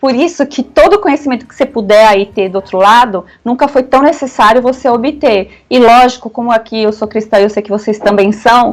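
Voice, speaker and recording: A woman talks at a fairly quick pace with hardly any pauses, in a high pitch. Her pitch variation is ordinary, and her loudness swings widely. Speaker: lawyer and conservative political commentator. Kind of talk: radio interview. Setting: radio studio interview. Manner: fast.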